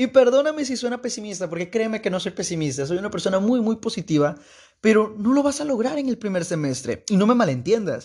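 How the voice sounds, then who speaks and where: Against a quiet background, a man with a high pitch talks at a very fast pace in an animated tone with lively intonation. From Mexico, Veracruz state. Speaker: podcast host, university student. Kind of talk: casual monologue.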